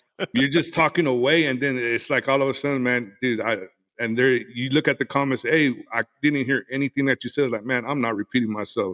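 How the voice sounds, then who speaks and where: With a West Texas accent, the speaker talks at a fairly quick pace. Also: man, medium pitch for a man, fairly even intonation, dry, close sound with no echo. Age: 40s. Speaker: podcaster, cigar and whiskey creator. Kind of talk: casual interview chat. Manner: halting, many repeated words.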